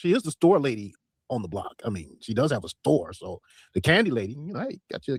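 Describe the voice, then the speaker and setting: With very wide pitch swings and vocal fry, a man in an American accent talks at a very fast pace, the sound dry and close with no echo. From Detroit. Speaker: livestream commentary host. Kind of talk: livestream commentary.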